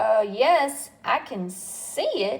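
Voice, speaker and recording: A woman puts on a character voice pitched fairly high. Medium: read story.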